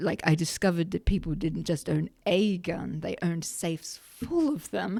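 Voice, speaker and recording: A woman speaks at a moderate pace with hardly any pauses, her fairly low voice dark and mellow with some vocal fry. Her pitch varies in an ordinary way. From Australia. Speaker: gun rights advocate. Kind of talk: podcast interview.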